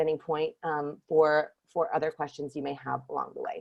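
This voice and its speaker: A woman sounds animated. Her pitch swings very widely. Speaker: workshop leader for screenwriters. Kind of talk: online workshop talk. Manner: very fast.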